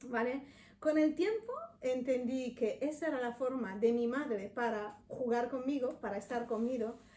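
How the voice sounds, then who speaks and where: Speaking fairly slowly in an Italian accent, a woman with a high pitch and ordinary pitch variation is heard over noticeable background noise. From Italy, Milan. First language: Italian (speaking Spanish). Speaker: chef. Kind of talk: interview.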